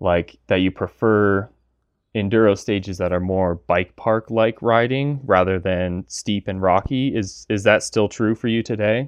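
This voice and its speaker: A man with an unremarkable speaking voice talks at a fairly slow pace, his fairly low pitch moving with ordinary variation. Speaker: gear reviewer. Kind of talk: interview.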